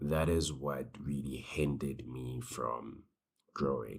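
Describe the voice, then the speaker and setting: Vocal fry runs through a man's very deep, low voice. He speaks at a very slow pace with ordinary pitch variation. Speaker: small business owner, vlogger. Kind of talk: casual vlog monologue. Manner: casual, hesitant with fillers.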